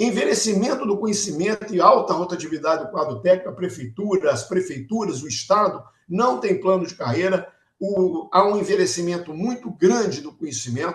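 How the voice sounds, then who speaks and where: High-pitched male voice with lively intonation, big swings in loudness, and a moderate pace. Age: 70s. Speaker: transport engineer and urban mobility consultant. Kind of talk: podcast interview.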